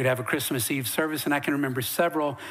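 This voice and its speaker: There is noticeable background noise. A man with an American accent talks at a fairly high pitch. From Western North Carolina mountains. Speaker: pastor. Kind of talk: sermon. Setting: church. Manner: animated.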